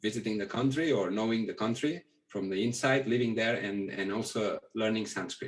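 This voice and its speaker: A man with a Catalan accent at a moderate pace. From Catalonia, Spain (near Barcelona). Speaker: Pali scholar. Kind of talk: interview. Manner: halting.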